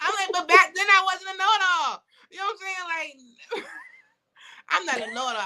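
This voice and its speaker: Speaking fairly quickly in a raised, projected voice, a woman with extremely high pitch has an animated tone. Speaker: author and business founder. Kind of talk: casual interview chat. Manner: fast.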